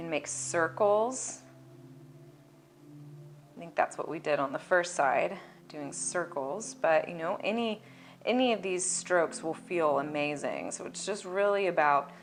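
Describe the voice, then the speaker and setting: At a fairly slow pace with long, frequent pauses, a woman speaks in a fairly low pitch with vocal fry, ordinary pitch variation and big swings in loudness. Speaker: massage therapist. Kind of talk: instructional massage demonstration, calm talk to camera. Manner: soft-spoken, relaxed.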